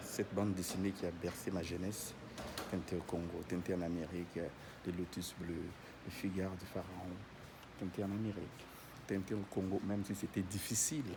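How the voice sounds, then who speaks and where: Speaking at a moderate pace, a man has a very deep, low pitch, a dark, mellow tone, a somewhat breathy sound, monotone, flat intonation, very even loudness, long, frequent pauses and audible room echo. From Africa. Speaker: vlogger. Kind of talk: casual guided tour vlog. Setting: inside a church during mass. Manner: soft-spoken; hesitant, many fillers.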